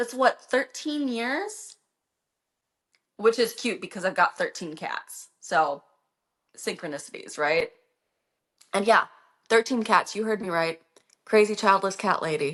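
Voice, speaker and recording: An American-accented woman speaks at a fairly high pitch with lively intonation. Her pace is fairly slow, with long, frequent pauses. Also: quiet background. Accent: slight Minnesotan accent at times. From Minnesota, US. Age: 30s. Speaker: livestreamer. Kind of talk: casual chat. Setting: livestream. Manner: animated.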